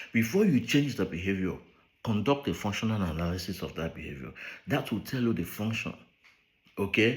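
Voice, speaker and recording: A man with a Nigerian accent speaks at a fairly quick pace in a somewhat breathy voice, his pitch swinging very widely. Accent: Nigerian Igbo English. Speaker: behavioral scientist. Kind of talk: speech read aloud.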